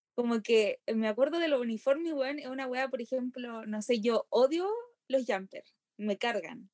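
The voice shows ordinary pitch variation, with a dry, close sound and no echo. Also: woman, high pitch for a woman, moderate pace. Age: 20s. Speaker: university student. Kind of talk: casual chat.

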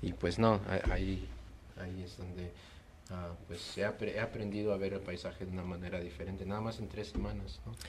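Amid audible room echo, a man with a very deep, low pitch and ordinary pitch variation speaks at a moderate pace. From Peru, then USA from age 10. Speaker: visual artist. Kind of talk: casual interview. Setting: late-night chat over beers.

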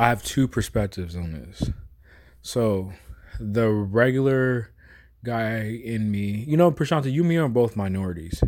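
A man with a normal speaking voice and an American accent talks at a medium pitch and a fairly slow pace, on a very clean recording with a silent background. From US West Coast, San Francisco Bay Area. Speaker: sports podcast co-host. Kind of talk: casual chat.

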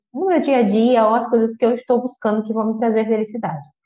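A woman speaks with a dark, mellow tone. Her pitch sits high. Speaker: podcast host. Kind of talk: casual monologue. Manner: informal, conversational.

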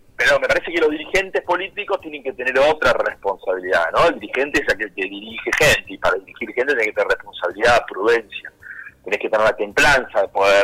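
A man with an Argentine accent speaks at a very fast pace. The sound is dry and close with no echo, though noticeable background noise is present. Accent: Rioplatense Argentine Spanish. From Argentina, Buenos Aires province. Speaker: politician. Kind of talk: radio interview. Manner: halting, many repetitions.

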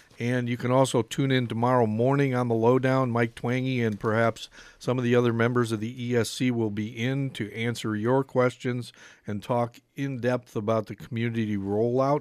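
This man talks at a moderate pace at a medium pitch. His intonation is monotone and flat. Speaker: radio host. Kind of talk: radio talk show. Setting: radio studio.

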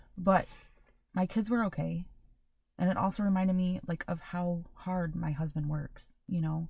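Woman with a fairly low pitch, a dark, mellow, somewhat breathy tone, fairly even intonation, a moderate pace and a quiet background. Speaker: podcast co-host (daughter). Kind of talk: casual chat.

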